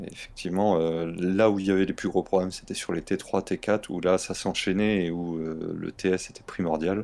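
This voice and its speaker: In a very clean recording with a silent background, a man speaks with a very deep, low pitch and monotone, flat intonation. He keeps a moderate pace with hardly any pauses, though his loudness swings widely. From southern France. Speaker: gaming stream co-host. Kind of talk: casual chat.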